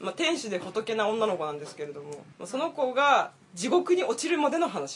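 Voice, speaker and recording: Over noticeable background noise, a woman with a fairly high pitch talks at a moderate pace, her voice making very wide pitch swings. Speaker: podcast co-host. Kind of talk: casual chat.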